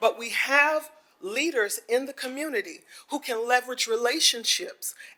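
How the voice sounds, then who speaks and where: A woman at a moderate pace, with ordinary pitch variation and music in the background. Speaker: community member speaking at town hall. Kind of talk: public comment at town hall.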